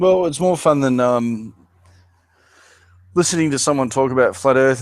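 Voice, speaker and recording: Over a very clean recording with a silent background, a man with an Australian accent speaks with ordinary pitch variation. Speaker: channel host, conspiracy discussion. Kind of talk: casual chat.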